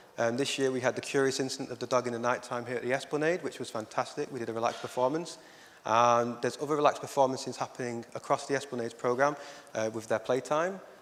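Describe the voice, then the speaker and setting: Talking at a very fast pace, a man with a Lancashire accent keeps a medium pitch and fairly even intonation. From northern England, Oldham, Lancashire. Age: 30s. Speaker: arts educator. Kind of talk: conference talk.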